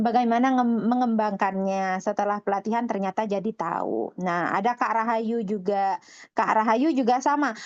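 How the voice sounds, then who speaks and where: A woman speaks with a fairly high pitch and ordinary pitch variation. She keeps a moderate pace with hardly any pauses against a quiet background. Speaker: English course program founder and webinar presenter. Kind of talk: webinar presentation. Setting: online webinar. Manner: sometimes forceful, revved-up delivery.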